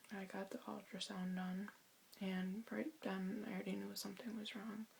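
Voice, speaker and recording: Soft-spoken, a woman talks at a moderate pace. Her pitch is medium and her intonation fairly even. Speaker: vlogger. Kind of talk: personal testimony. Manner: halting.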